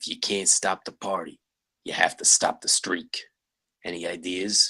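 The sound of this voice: A put-on character voice from a man, low-pitched with a slightly husky edge, bright and sharp in tone, with little pitch movement and a fairly slow pace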